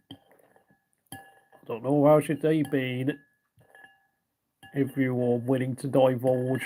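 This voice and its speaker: Speaking with a British accent at a medium pitch, a man goes at a very slow pace with long, frequent pauses and monotone, flat intonation. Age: 30s. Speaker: ASMR livestreamer. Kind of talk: casual livestream chat. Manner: halting.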